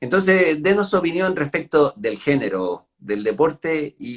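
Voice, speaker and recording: Dry and close with no echo, a man's fairly high voice moves through very wide pitch swings. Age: 60s. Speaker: interviewer, tennis association trainer. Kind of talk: interview.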